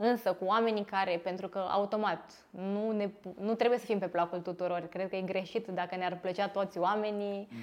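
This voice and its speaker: Speech comes at a moderate pace. The delivery stays monotone and flat. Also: woman, medium pitch for a woman. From Romania, Târgu Jiu. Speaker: physiotherapist and clinic owner. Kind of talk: interview.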